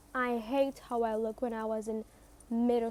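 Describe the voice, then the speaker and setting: Her voice fairly high yet dark and mellow, a woman with a non-native accent speaks in a flat monotone. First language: not English. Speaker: self-help podcaster. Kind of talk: motivational monologue. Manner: repetitive, emphatic.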